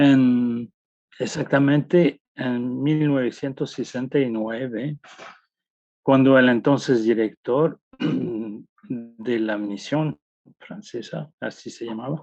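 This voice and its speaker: This man speaks very slowly, his medium pitch carrying ordinary pitch variation. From France. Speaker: anthropologist. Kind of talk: interview answer.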